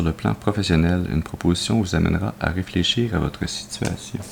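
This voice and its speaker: Noticeable background noise sits under a man's very deep, low voice. He talks at a moderate pace with lively intonation. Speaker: tarot card reader. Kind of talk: tarot reading presentation.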